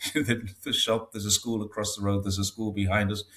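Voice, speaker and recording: The speaker is a man with a fairly low pitch. He talks at a moderate pace in a somewhat breathy voice. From northeast England, Newcastle area. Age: 60s. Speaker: expat commentator on China. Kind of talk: casual interview. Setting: home studio, video call. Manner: hesitant, with many fillers.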